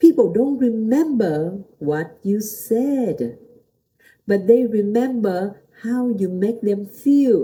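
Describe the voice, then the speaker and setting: This woman has a Vietnamese accent and a fairly high pitch. Her somewhat breathy, dark, mellow tone moves through very wide pitch swings. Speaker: pastor. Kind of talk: motivational talk. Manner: halting.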